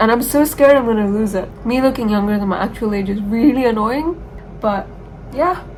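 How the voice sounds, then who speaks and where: Speaking with an American accent, a woman talks at a fairly quick pace in a fairly high voice with ordinary pitch variation. Audible room echo and noticeable background noise surround her. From Dubai, UAE (Indian background). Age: 18. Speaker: vlogger, university student. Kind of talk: casual vlog talk. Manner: eating while talking.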